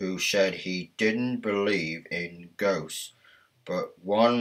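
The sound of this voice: An unforced voice reads, its pitch varying by an ordinary amount.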